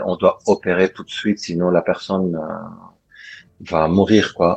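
Recorded with a dry, close sound with no echo, the voice moves at a fairly slow pace with fairly even intonation. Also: man. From Lebanon. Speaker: doctor. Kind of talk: interview. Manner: halting.

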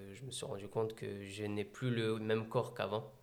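With fairly low pitch, the man delivers his words in a flat, monotone intonation. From France, Meaux (Seine-et-Marne). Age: 20s. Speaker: athlete and adventurer. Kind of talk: interview.

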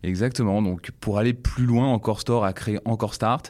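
This man's tone is dark and mellow. His pitch moves in an ordinary way. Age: 30s. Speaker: e-commerce platform program manager. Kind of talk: expert interview. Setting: office. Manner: hesitant with many fillers.

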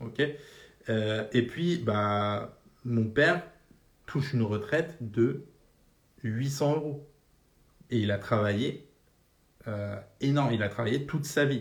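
Somewhat breathy, a man speaks at a medium pitch and a very slow pace. Long, frequent pauses and audible room echo mark the recording. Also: ordinary pitch variation. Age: 30s. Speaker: personal finance podcaster. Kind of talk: casual monologue. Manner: casual, filler-heavy.

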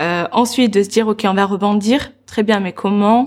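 This is a normal speaking voice moving at a fairly slow pace. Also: woman. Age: 20s. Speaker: entrepreneur and personal development coach. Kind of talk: interview.

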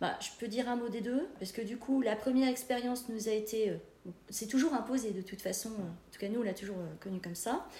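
At a fairly quick pace, a woman speaks with ordinary pitch variation and big swings in loudness, with audible room echo. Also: fairly high pitch for a woman. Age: 40s. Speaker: bereaved daughter sharing her experience. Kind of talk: podcast interview, personal testimony.

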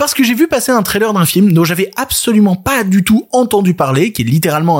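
A man speaks in an animated tone at a fairly quick pace, his high voice carrying lively intonation. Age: 30s. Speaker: film podcast host. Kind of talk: solo podcast commentary.

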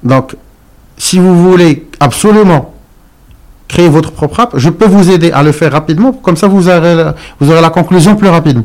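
A man with a high pitch and ordinary pitch variation speaks at a moderate pace with very even loudness. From Morocco. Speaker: entrepreneur. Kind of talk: interview. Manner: halting.

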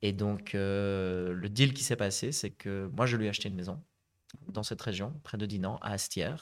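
A man with a normal speaking voice and fairly low pitch talks at a moderate pace on a very clean recording with a silent background. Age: 30s. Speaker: property investor, conference interpreter. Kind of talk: podcast interview.

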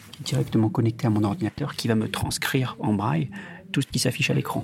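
A man's moderately paced speech carries lively intonation. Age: 20s. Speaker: digital accessibility lead, blind. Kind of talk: interview testimony.

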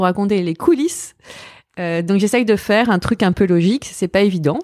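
Dark and mellow in tone, a woman's voice moves at a moderate pace. The recording is very clean, with a silent background. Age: 40s. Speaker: fashion journalist and podcaster. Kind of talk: casual interview chat. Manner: halting, repetitive.

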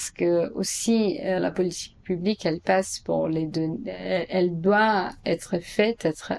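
A woman with a Portuguese accent talks at a very slow pace. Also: hardly any pauses. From Brazil, São Paulo. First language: Portuguese (speaking French). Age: 30s. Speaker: architect and urban planner. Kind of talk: interview answers. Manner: hesitant, many fillers.

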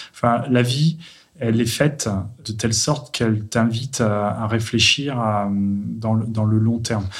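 Fairly even intonation in a somewhat breathy, medium-pitched male voice. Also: fairly slow pace. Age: 40s. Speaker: tech entrepreneur. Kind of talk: testimony.

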